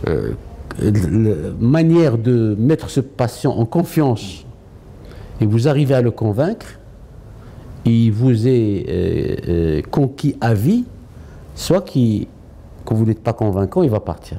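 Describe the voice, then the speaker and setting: With lively intonation and very even loudness, a man at a medium pitch speaks at a very slow pace, leaving long, frequent pauses. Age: 60s. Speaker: oncologist and healthcare executive. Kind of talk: interview. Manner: hesitant, many fillers.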